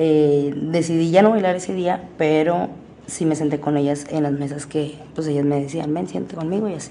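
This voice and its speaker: Very deep and low, a woman's voice shows ordinary pitch variation amid audible room echo. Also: moderate pace. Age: 20s. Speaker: exotic dancer. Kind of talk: personal storytelling. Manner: casual, with fillers and self-corrections.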